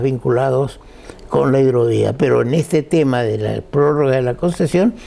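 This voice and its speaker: A man speaks fairly slowly with lively intonation. Noticeable background noise is present. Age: 80s+. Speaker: lawyer and guest speaker. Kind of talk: talk to an audience. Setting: breakfast event with audience.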